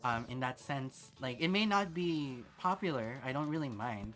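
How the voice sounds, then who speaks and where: Over music in the background, a soft-spoken man talks at a fairly slow pace. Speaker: VTuber streamer. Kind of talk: casual gaming livestream chat. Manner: soft-spoken, quiet; hesitant, many fillers. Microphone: mic close, noise gate on, level low.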